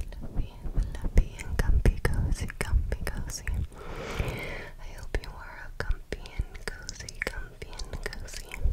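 A woman's whisper at a very slow pace, with big swings in loudness. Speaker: ASMR creator. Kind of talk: ASMR trigger words. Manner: whispered. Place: home room. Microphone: studio mic.

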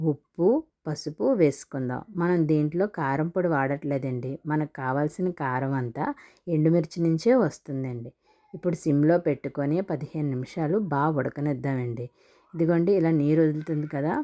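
The recording is very clean, with a silent background. A woman speaks with a very deep, low pitch, a dark, mellow tone and ordinary pitch variation. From Visakhapatnam, Andhra Pradesh, India. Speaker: cooking video creator. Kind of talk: cooking tutorial.

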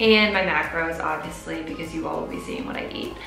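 A woman with an American accent is heard with audible room echo and clear music in the background. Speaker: fitness and nutrition vlogger. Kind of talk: casual talk to camera. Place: home room.

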